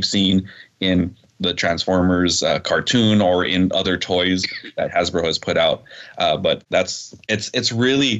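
In a plain, everyday voice, a man talks at a moderate pace with fairly low pitch and fairly even intonation. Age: 40s. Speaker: toy company representative. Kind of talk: casual interview.

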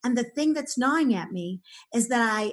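Somewhat breathy, a woman speaks with lively intonation and an animated tone. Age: 60s. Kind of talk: interview.

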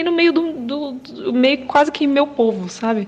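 Noticeable background noise accompanies a woman speaking at a high pitch and a fairly slow pace. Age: 20s. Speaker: video editor, church member. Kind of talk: testimony.

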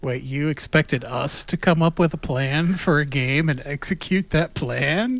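A man with an ordinary speaking voice and fairly high pitch talks at a fairly slow pace. He hardly pauses and uses ordinary pitch variation. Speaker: tabletop RPG player and co-host. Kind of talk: casual chat, game review.

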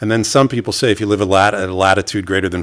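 Intonation stays fairly even in this voice with a New York accent. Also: man. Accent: New York American. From New York City. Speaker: emergency physician. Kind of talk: interview.

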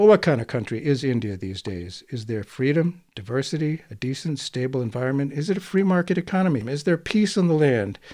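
This man has a dark, mellow tone, a fairly high pitch and an American accent. He talks at a fairly quick pace with hardly any pauses and very wide pitch swings. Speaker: radio host. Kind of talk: interview discussion.

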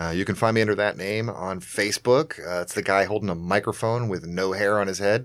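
A man with an ordinary speaking voice and a fairly low pitch talks at a fairly quick pace with ordinary pitch variation and hardly any pauses, on a very clean recording with a silent background. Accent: American. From US South. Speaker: comedian and podcast co-host. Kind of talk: casual chat.

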